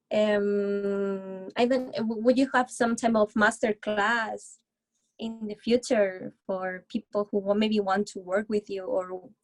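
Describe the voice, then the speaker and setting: In a Spanish accent, a woman speaks at a very slow pace with medium pitch and fairly even intonation, the sound dry and close with no echo. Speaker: recent graduate seeking music industry work. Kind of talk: interview Q&A. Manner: halting.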